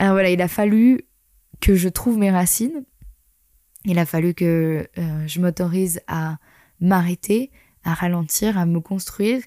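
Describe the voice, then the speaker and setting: Recorded very cleanly against a silent background, a woman speaks at a fairly slow pace with long, frequent pauses, a dark, mellow tone and ordinary pitch variation, the sound dry and close with no echo. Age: 30s. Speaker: yoga teacher and podcast host. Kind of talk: personal storytelling monologue.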